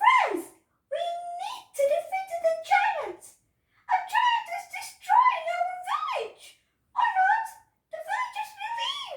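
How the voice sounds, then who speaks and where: Putting on a squeaky character voice, a woman speaks at an extremely high pitch and a fairly slow pace with lively intonation and long, frequent pauses. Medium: read story.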